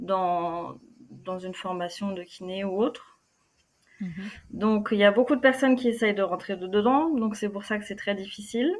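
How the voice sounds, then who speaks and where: Fairly slow delivery with long, frequent pauses and big swings in loudness. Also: woman. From France, Normandy. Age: 20s. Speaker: physiotherapist. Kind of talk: interview. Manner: halting.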